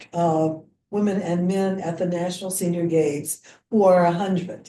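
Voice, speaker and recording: A woman's dark, mellow voice in a monotone, flat intonation, with an American accent. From US Midwest, Missouri (Jefferson City). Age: 80s+. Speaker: senior athlete and businesswoman. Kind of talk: casual chat. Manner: halting.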